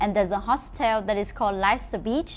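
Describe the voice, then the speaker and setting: A woman with a Vietnamese accent, fairly high in pitch with ordinary pitch variation, at a moderate pace. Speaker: motorbike rental company employee. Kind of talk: travel route advice to camera.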